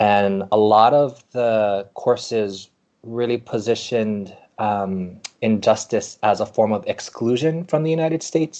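The man's voice sits at a medium pitch with a dark, mellow tone. He moves at a fairly slow pace with ordinary pitch variation. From Hawaii (Maui). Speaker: professor and author. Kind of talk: interview. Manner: halting, many fillers.

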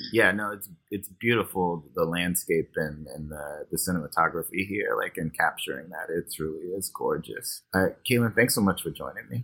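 A man's pace is fairly quick. Hardly any pauses break up his speech. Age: 30s. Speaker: podcast host. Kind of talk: casual chat about a film.

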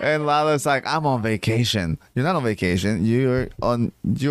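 Natural-voiced reading aloud marked by ordinary pitch variation

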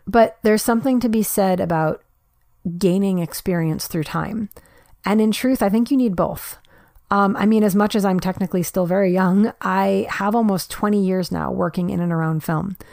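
With an American accent and a normal speaking voice, a woman talks at a moderate pace, her medium pitch showing ordinary variation. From New York. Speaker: podcast host and independent filmmaker. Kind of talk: casual solo monologue.

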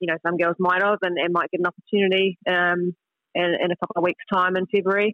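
A woman with a New Zealand accent speaks at a fairly quick pace. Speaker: international footballer. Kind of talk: interview.

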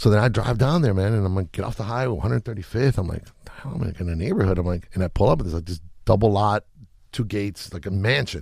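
A man at a fairly low pitch, somewhat breathy and dark, mellow in tone, with lively intonation at a very fast pace, on a very clean recording with a silent background. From Chile. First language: Spanish. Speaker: music producer. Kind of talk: casual interview chat. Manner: relaxed, laid-back slang.

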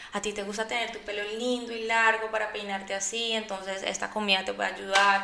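A woman talks at a fairly quick pace in a fairly high, monotone voice. The room echoes audibly, and there is noticeable background noise. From Colombia (Antioquia family). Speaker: chef and cooking competition winner. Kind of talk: interview. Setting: studio.

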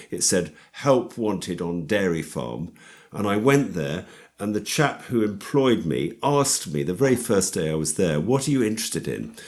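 This man's voice sits fairly low and swings very widely in pitch, with vocal fry throughout. He speaks at a moderate pace. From London, England. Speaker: organic dairy farmer and food campaigner. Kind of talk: interview conversation. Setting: remote call.

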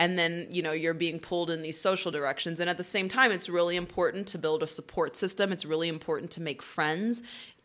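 A woman with an American accent talks very fast in a fairly low voice, with fairly even intonation and hardly any pauses. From Oklahoma. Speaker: business co-founder and actress. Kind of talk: casual interview chat.

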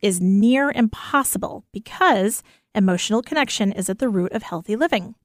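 An enthusiastic woman at a fairly high pitch and moderate pace, lively in intonation, on a very clean recording with a silent background and a dry, close sound with no echo. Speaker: radio co-host. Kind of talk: casual chat.

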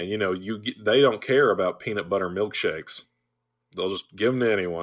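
Here is a man with a normal speaking voice and a fairly low pitch. He moves at a fairly quick pace with ordinary pitch variation. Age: 20s. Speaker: guest podcaster, co-host of another roller coaster show. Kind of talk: casual chat.

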